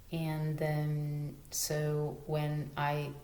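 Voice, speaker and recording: Somewhat breathy and very deep in pitch, a woman speaks with a non-native accent. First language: not English. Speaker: natural living vlogger. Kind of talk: casual talk to camera. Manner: hesitant, stuttering.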